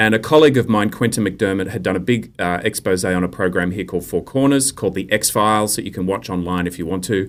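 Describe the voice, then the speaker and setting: A man talks very fast at a fairly low pitch, with hardly any pauses and ordinary pitch variation. The recording is very clean, with a silent background. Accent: Australian. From Australia. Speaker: investigative journalist. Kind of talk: interview.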